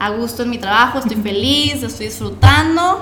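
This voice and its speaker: A woman's voice at a moderate pace, with audible room echo and noticeable background noise. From Mexico, Monterrey. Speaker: architect and eco-business co-founder. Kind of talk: interview.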